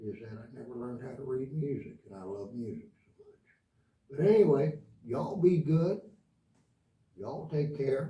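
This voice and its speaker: Moderately paced speech comes in a somewhat breathy voice full of lively intonation. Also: man. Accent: American. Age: 70s. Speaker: guitar teacher. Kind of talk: tutorial. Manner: casual, hesitant.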